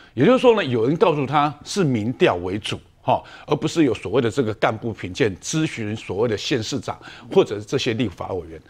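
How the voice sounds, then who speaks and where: Very wide pitch swings run through a man's medium-pitched voice at a fairly quick pace, on a very clean recording with a silent background. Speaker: legislator. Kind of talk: TV political talk show.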